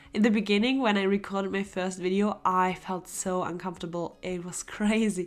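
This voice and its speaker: A woman talks at a fairly quick pace in a medium pitch with ordinary pitch variation. Her loudness swings widely on a very clean recording with a silent background. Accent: German. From Germany. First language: German. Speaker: illustrator and art youtuber. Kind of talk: casual Q&A while sketching. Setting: home studio. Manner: relaxed.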